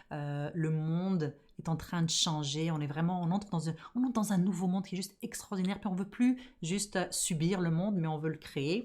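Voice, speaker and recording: At a moderate pace, a woman with a fairly low voice speaks in an animated tone with ordinary pitch variation. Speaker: podcast host and business coach. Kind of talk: casual podcast monologue.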